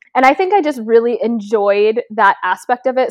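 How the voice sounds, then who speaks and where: Speaking in a Canadian accent, a woman uses a normal speaking voice. Her pitch is fairly high and her pace moderate. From Canada, Toronto. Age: 20s. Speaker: beauty and lifestyle content creator. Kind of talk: casual interview.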